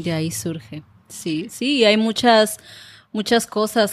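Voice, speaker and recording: A woman speaking at a very slow pace. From Mexico, Colima (Manzanillo). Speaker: YouTube creator and Spanish teacher. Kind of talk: interview.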